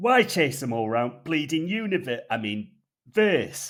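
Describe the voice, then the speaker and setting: Putting on a gruff character voice in a North Yorkshire accent, a man talks at a fairly slow pace with a fairly high pitch and very wide pitch swings. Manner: querying.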